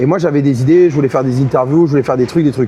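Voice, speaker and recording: A man in a southern French accent, against noticeable background noise. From southern France, Montpellier. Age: 30s. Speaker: esports caster and host. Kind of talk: interview. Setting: on site at esports event. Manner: halting, many fillers.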